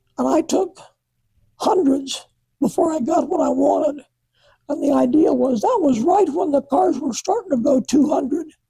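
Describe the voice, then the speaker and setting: A man speaks at a fairly slow pace in an American accent, his pitch extremely high. His tone is dark and mellow, with ordinary pitch variation. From US Midwest, south central Iowa. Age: 80s+. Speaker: retired drag racing photographer. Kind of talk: interview, reminiscing.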